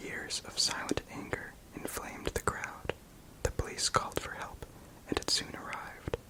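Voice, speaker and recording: Someone whispers at a moderate pace. Background noise is noticeable. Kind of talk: whispered ASMR book reading. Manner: whispered, soft-spoken.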